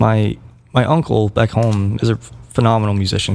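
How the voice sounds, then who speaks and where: A man with an American accent speaks against noticeable background noise. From West Virginia. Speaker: band musician. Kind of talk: casual chat. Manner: halting.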